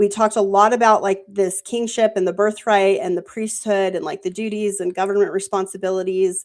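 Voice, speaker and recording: A woman's medium-pitched voice, fairly quick with hardly any pauses and a monotone, flat delivery. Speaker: scripture study panel host. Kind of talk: live panel bible study discussion. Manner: casual, filler-heavy.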